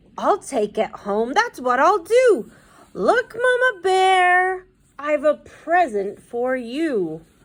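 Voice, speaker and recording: Using a put-on character voice, a woman speaks at a very slow pace in a high pitch with very wide pitch swings. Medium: read story. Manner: jolly, cheerful.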